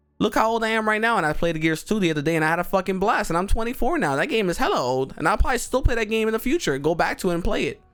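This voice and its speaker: A man's high-pitched, animated voice with very wide pitch swings, at a very fast pace with hardly any pauses, over music in the background. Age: 20s. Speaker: gaming youtuber. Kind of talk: casual vent monologue. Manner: animated, repetitive with false starts.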